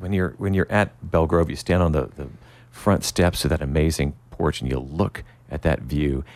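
Over a silent background in a very clean recording, a man speaks at a moderate pace with vocal fry. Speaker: radio host. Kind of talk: radio interview. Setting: studio.

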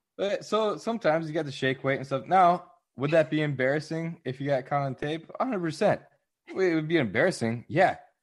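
An ordinary speaking voice moves at a fairly quick pace over a quiet background. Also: man, fairly high pitch for a man, ordinary pitch variation. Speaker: podcaster guest.

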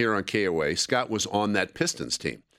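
Speaking with an ordinary speaking voice, a man has a fairly low pitch and a moderate pace. The recording is very clean, with a silent background. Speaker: radio host. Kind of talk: casual radio talk show. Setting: radio studio.

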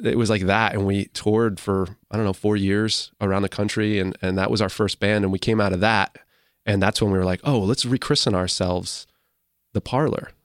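A man with an American accent speaks at a fairly quick pace in an unremarkable speaking voice, fairly low in pitch with fairly even intonation. The recording is very clean with a silent background, and the sound is dry and close with no echo. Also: very even loudness. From Massachusetts, US. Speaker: indie rock musician. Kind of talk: casual interview chat.

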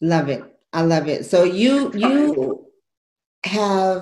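Speaking at a very slow pace, a woman of medium pitch uses a dark, mellow tone with very wide pitch swings. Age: 40s. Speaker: radio show host, fitness and lifestyle coach. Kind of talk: casual chat. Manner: animated.

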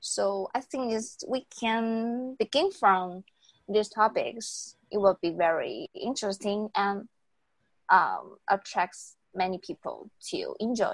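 Here a woman speaks at a very slow pace with a fairly high pitch. The sound is dry and close, with no echo. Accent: Taiwanese. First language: Mandarin Chinese. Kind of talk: casual bilingual chat. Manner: halting, many fillers.

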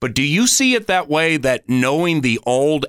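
A man talks at a moderate pace in a normal speaking voice. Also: dry, close sound with no echo. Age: 50s. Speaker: football radio play-by-play announcer, podcast host. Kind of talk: casual faith conversation.

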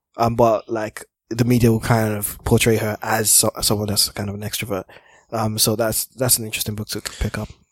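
Dry and close with no echo, a man's voice moves at a fairly quick pace in a monotone, flat intonation. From Nigeria, Lagos. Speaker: podcast guest, co-host of another podcast. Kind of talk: casual chat. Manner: low, calm.

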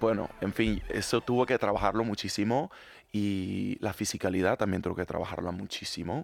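Moderately paced speech from a man with a fairly low pitch and ordinary pitch variation. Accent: Latin American. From Latin America. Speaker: musical theatre actor. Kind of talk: interview. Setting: studio.

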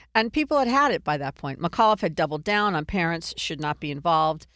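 On a very clean recording with a silent background, a woman with an ordinary speaking voice and an American accent speaks at a moderate pace and a fairly low pitch. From Virginia. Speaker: political podcast host. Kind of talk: casual political commentary.

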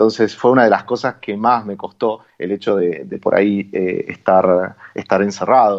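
A man with an Argentine accent, fairly low pitch, fairly even intonation and a fairly slow pace. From Argentina. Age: 30s. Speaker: traveller, philosophy teacher. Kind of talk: radio interview. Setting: phone call. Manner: halting.

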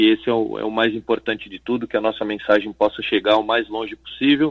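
Using an ordinary speaking voice, a man talks at a moderate pace with fairly even intonation. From Brazil, Guarujá (Baixada Santista, São Paulo coast). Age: 30s. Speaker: footballer and entrepreneur. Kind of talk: radio interview.

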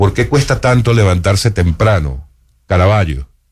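A man with a very deep, low pitch speaks at a moderate pace. His voice is somewhat breathy, with lively intonation. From Venezuela. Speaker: radio host. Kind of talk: radio interview. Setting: radio studio.

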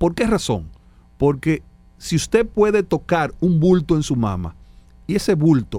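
A man with a dark, mellow tone speaks at a fairly slow pace. His pitch swings very widely. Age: 50s. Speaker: doctor. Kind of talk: medical interview on radio.

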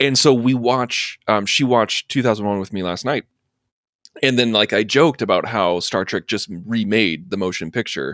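A medium-pitched man with a Midwestern American accent, ordinary pitch variation and a moderate pace. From US Midwest, Urbana, Illinois. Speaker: film podcast co-host. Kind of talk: casual chat.

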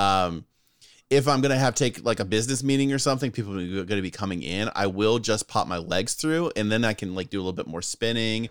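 A man speaks at a very fast pace with a fairly low pitch. His pitch variation is ordinary. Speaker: podcast co-host. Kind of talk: casual banter between friends. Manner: chatty, animated.

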